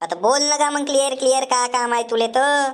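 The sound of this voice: Using a cartoonish character voice, a woman with a high pitch speaks at a fairly quick pace with very even loudness.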